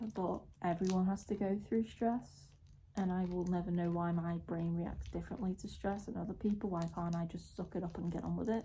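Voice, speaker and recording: A woman's fairly low, somewhat breathy voice, dark and mellow in tone, at a fairly quick pace with fairly even intonation. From Merseyside area, northern England. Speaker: vlogger. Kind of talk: casual vlog talk to camera. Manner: halting, many fillers.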